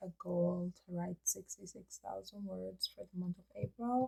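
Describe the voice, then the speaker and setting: A woman, recorded with a dry, close sound and no echo. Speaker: fantasy writer and video creator. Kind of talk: casual vlog update.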